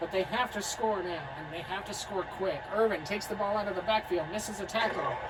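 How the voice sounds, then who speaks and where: Noticeable background noise and audible room echo surround this woman as she talks. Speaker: video game commentator. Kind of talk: live commentary.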